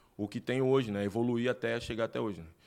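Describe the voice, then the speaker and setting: A man's voice at medium pitch, in a very clean recording with a silent background. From Recife, Pernambuco, Brazil. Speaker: entrepreneur, gym owner. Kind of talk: interview. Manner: animated.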